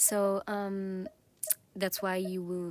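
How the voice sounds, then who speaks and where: A woman talks with an Italian accent at a fairly slow pace. Noticeable background noise runs behind her. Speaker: gaming youtuber. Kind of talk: casual gameplay commentary. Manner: hesitant, many fillers.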